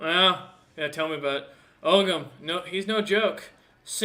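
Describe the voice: Ordinary pitch variation in plain reading aloud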